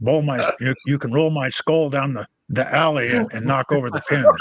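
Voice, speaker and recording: The voice has an American accent and fairly even intonation at a moderate pace. The sound is dry and close, with no echo. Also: man. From Arizona. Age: 60s. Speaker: podcast co-host. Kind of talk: casual chat. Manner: halting.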